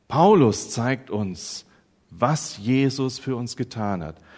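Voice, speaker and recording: A man speaks at a very slow pace in a dramatic tone. The recording is very clean, with a silent background. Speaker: preacher. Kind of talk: sermon. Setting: church. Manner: dramatic, emphatic build-up with repetition, then triumphant; earnest, teacherly, addressing the congregation directly.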